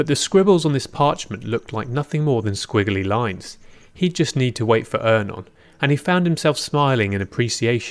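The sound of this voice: The voice is an unforced reading voice. Its intonation is lively.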